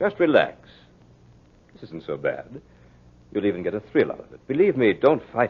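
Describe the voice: A man puts on a character voice, pitched fairly low with a slightly husky edge and very wide swings in pitch. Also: moderate pace.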